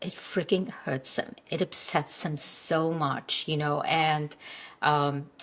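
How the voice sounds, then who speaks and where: Speaking at a very slow pace, a woman with an Indian accent has a very deep, low pitch and ordinary pitch variation. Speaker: functional health coach. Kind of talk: interview conversation. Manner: halting.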